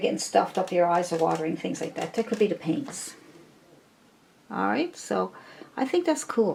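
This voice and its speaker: A woman's moderately paced speech comes through with noticeable noise in the background. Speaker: painting teacher. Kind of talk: tutorial. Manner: casual and chatty.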